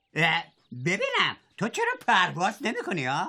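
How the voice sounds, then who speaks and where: Putting on a whiny character voice, a man speaks in a high pitch. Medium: cartoon. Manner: whiny, complaining.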